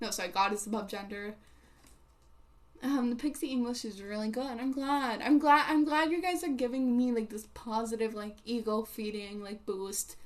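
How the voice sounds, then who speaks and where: A woman speaks with a non-native accent and a fairly high pitch. Her pace is moderate and her pitch variation ordinary. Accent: non-native English, mispronounces words. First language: not English. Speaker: livestreamer. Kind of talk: casual chat with live chat readers. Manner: halting, many fillers.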